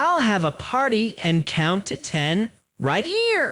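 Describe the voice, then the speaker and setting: A female-sounding voice in a put-on character voice, pitched fairly high and delivered at a fairly slow pace. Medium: read story. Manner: cheerful, upbeat.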